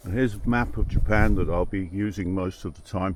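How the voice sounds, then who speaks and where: The speaker is a man with an English accent. He talks at a moderate pace. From England. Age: 60s. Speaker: travel vlogger. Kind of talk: casual vlog narration. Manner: halting, with many fillers.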